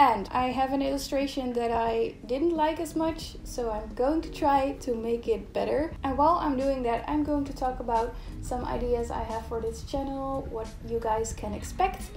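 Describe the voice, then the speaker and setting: A woman's high pitch with ordinary variation, in audible room echo. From Netherlands. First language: Dutch. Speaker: illustrator and YouTuber. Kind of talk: casual chat while drawing.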